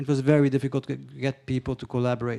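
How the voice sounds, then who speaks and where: Heard in a dry, close sound with no echo, a man with a Hungarian accent speaks at a medium pitch in a dark, mellow tone. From Hungary. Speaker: panelist, culture funding expert. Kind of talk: panel discussion question. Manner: halting, many fillers and restarts.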